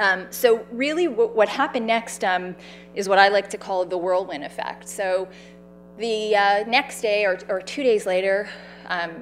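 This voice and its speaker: A woman with a Canadian accent speaks at a medium pitch. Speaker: cancer survivor and patient advocate. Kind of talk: public talk. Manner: loud.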